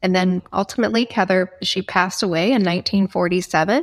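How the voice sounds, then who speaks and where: At a fairly slow pace, a plain, everyday voice with an American accent and fairly even intonation comes through in a dry, close sound with no echo. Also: woman. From Nebraska. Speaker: foundation executive director. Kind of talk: interview.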